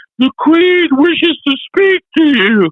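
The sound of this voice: Someone in a put-on character voice speaks at a high pitch and a fairly slow pace.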